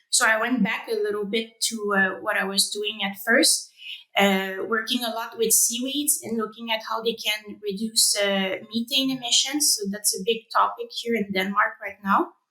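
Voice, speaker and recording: A woman with a French Canadian accent at a moderate pace, fairly high in pitch, with ordinary pitch variation and hardly any pauses. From Quebec, Canada (Rimouski). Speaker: animal science researcher. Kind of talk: interview. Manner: hesitant, many fillers.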